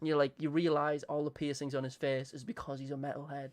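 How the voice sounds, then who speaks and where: A man with an English accent talks very fast in a fairly high pitch. His intonation is monotone and flat, over a quiet background. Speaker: streamer. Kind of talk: casual chat. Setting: live stream.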